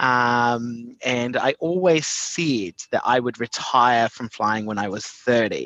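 Against a quiet background, a man speaks at a medium pitch with a New Zealand accent. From New Zealand, Invercargill. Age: 30s. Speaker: tourism program director. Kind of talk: podcast interview.

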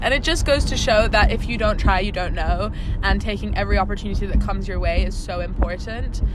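A woman talks at a very fast pace with hardly any pauses. Noticeable background noise and audible room echo surround her. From Greece. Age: young. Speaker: show jumper. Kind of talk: casual interview. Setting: in a car. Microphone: too far from the mic.

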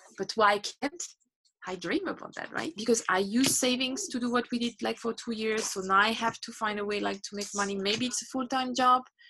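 In a French accent, a woman talks at a fairly quick pace, her fairly high voice bright and sharp in tone with ordinary pitch variation. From France. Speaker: unschooling mother and traveler. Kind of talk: interview conversation. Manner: hesitant, with fillers.

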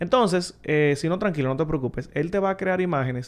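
Talking at a fairly quick pace, a man has an unremarkable speaking voice with ordinary pitch variation. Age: 30s. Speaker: tech content creator. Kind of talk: casual chat.

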